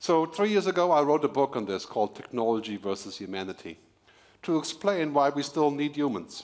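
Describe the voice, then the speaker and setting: A man's fairly high voice moves through very wide pitch swings. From Germany. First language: German. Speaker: futurist keynote speaker and author. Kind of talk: keynote speech. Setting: stage with audience at corporate event.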